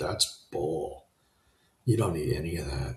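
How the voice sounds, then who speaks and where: A man's lively intonation with vocal fry, at a fairly slow pace. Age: 60s. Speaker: self-help podcast host. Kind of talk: live-streamed motivational monologue. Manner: animated; casual, with filler words.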